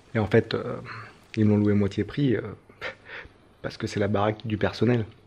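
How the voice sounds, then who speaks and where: A man talks with a French accent. His pitch sits fairly low. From France. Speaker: travel vlogger. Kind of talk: travel vlog. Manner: casual, hesitant with many fillers.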